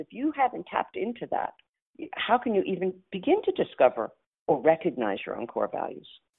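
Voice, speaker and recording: In a New York accent, a woman talks at a moderate pace. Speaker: futurist and coach. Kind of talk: casual interview chat.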